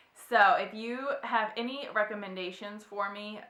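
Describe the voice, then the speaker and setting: A woman speaks with lively intonation, and audible room echo surrounds her voice. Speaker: book vlogger. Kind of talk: casual chat. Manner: chatty.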